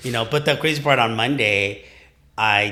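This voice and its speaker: A loud man's voice, bright and sharp, at a moderate pace with ordinary pitch variation. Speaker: gym client and training partner. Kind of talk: casual chat. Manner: animated.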